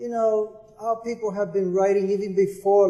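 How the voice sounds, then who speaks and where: Fairly slow speech from a man, noticeable background noise behind. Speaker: poet and literary historian. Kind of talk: panel discussion answer.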